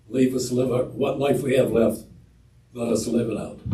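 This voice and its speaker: A man speaks at a moderate pace with a medium pitch, a somewhat breathy delivery and a dark, mellow tone, and audible room echo surrounds his voice. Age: 80s+. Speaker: resident speaking at public forum. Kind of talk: public comment at council meeting. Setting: city council meeting. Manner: quiet. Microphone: too far from microphone at first.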